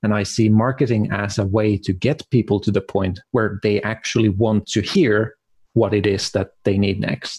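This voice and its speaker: With a Finnish accent, a man speaks at a moderate pace in a fairly low pitch, somewhat breathy, with fairly even intonation and very even loudness, the sound dry and close with no echo. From Finland. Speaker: marketing consultant. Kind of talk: interview.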